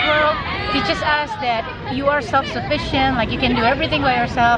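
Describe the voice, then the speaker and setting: A woman's voice with audible room echo and crowd noise in the background. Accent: non-native. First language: not English. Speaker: friend featured in a vlog. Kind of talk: casual faith chat. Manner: halting, many fillers.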